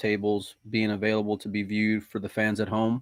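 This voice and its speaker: Against a quiet background, a man talks at a fairly quick pace in a fairly low pitch, with a plain, everyday voice and a dry, close sound with no echo. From United States. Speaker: podcast host. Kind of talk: casual chat.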